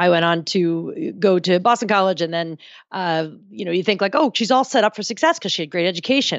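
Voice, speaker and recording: A woman with an American accent speaks at medium pitch and a fairly quick pace in a plain, everyday voice with lively intonation. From New Jersey. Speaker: writer and brand consultant, stand-up comic. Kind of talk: casual interview.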